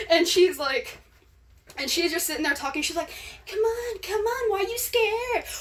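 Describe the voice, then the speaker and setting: Moderate pace with an animated tone and long, frequent pauses. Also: woman, extremely high pitch for a woman, lively intonation. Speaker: social media storyteller. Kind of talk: casual storytelling.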